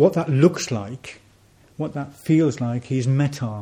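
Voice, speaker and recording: A man's somewhat breathy, medium-pitched voice with a dark, mellow tone, at a fairly slow pace. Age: 50s. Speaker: Buddhist order member being inaugurated as centre president. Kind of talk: personal talk to a community gathering. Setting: shrine room with audience.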